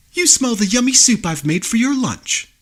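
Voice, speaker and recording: A man puts on a character voice pitched extremely high, talking at a moderate pace. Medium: read story.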